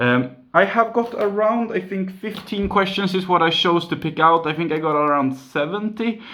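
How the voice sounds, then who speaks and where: Against noticeable background noise, a man with a Swedish accent uses a raised, projected voice at a high pitch, keeping a moderate pace with hardly any pauses and ordinary pitch variation. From Sweden, near Gothenburg. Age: 20s. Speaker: YouTuber, mobile game channel. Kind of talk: Q and A video, casual.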